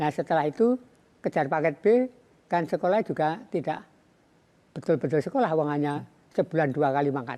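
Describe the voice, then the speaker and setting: A man with a fairly high pitch and a dark, mellow tone talks at a fairly quick pace, keeping his loudness very even and his pitch variation ordinary, with long, frequent pauses. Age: 70s. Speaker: banana farmer. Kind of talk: interview.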